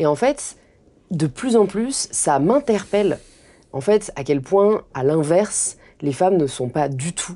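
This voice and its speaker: Her voice is dark and mellow, set at a fairly low pitch for a woman. Her pitch swings very widely. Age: 20s. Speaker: influencer and author. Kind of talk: interview conversation.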